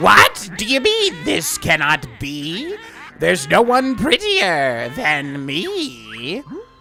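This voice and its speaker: A man uses a high-pitched put-on character voice at a very slow pace. Clear music plays in the background. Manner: vain, indignant, sing-song.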